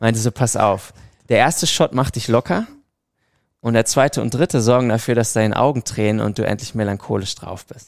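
A man's medium-pitched, normal speaking voice at a fairly quick pace, with ordinary pitch variation and big swings in loudness, on a very clean recording with a silent background. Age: 20s. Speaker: amateur footballer and model. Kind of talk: casual chat.

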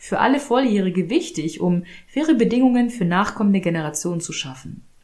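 Her intonation lively and her pace fairly quick, a woman talks in an unremarkable speaking voice. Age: 30s. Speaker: podcast host. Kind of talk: solo monologue.

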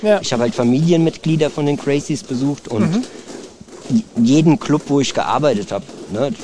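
A man with a fairly high pitch and lively intonation speaks at a moderate pace, leaving long, frequent pauses over noticeable background noise. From Germany. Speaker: martial arts trainer. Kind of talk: casual interview.

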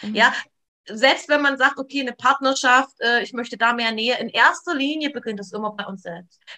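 A woman talks at a moderate pace in a high, bright, sharp voice with big swings in loudness. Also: ordinary pitch variation. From eastern Germany, near Leipzig (Saxony). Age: 40s. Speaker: trauma therapist. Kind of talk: interview conversation.

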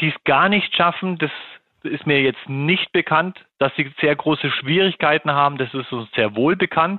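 A man with a normal speaking voice is heard. His fairly high pitch has ordinary variation. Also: moderate pace. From Germany, Munich. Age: 40s. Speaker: golf association marketing head. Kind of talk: interview.

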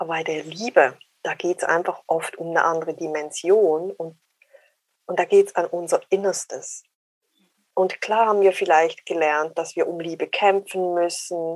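A woman's fairly low voice at a fairly slow pace, with a dry, close sound and no echo. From Switzerland. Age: 40s. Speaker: dating coach. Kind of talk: interview.

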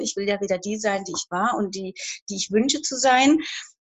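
A woman with a plain, everyday voice talks at a fairly quick pace with lively intonation. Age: 50s. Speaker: horse owner seeking coaching. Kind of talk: live coaching session.

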